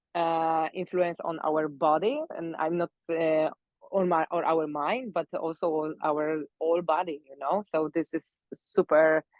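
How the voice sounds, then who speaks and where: A woman with a Polish accent talks fairly slowly at a fairly low pitch, her intonation fairly even. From Poland. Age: 30s. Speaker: pilates instructor and mobility coach. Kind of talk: live talk interview. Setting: live stream. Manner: halting, many fillers.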